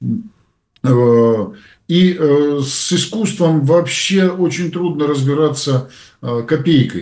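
At a very slow pace, a man speaks with long, frequent pauses. His pitch is fairly high, with ordinary variation. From Belarus. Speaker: publicist and public figure, co-host. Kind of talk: casual political discussion.

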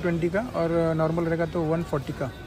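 Clear music plays in the background as a man speaks at a moderate pace. His pitch is high, and the sound is dry with no echo. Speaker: vlogger. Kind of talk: casual vlog chat. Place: shop. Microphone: phone near.

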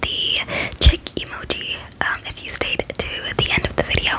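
The pace is very slow. It comes from a woman whispering. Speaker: ASMR creator. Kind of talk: casual vlog chat. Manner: soft close-mic ASMR speaking. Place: home room. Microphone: studio mic.

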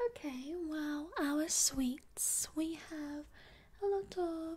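Soft-spoken and gentle in tone, a woman talks at a high pitch with ordinary pitch variation. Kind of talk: ASMR-style role-play talk to viewer. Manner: soft-spoken gentle ASMR shopkeeper voice.

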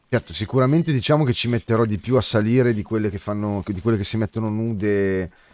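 This is an ordinary speaking voice from a man, fairly low in pitch with ordinary pitch variation, at a fairly quick pace. The sound is dry with no echo. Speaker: game streamer. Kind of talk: casual stream commentary and chat replies. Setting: live stream, gaming. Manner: chatty, informal, swears often. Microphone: studio mic.

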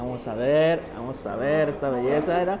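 With music behind him, a man moves at a moderate pace, his pitch varying in an ordinary way. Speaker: food vlogger. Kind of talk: casual vlog chat. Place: cafe. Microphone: lapel.

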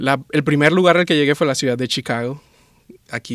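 Against a quiet background, a man talks at a very fast pace in a dry sound without echo. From Venezuela, Maracaibo; Venezuela. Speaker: anesthesiologist; guest. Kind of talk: interview conversation. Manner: hesitant, with fillers and repetitions. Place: studio. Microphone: studio mic.

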